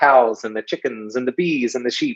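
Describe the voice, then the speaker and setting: A man speaks with an English accent. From England. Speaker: author and speaker on ritual. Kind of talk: guest talk. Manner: hesitant with many fillers.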